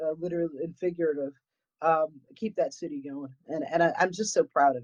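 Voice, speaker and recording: A woman with a New England accent at a moderate pace, in a dry, close sound with no echo. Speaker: paranormal investigator. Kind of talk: casual chat.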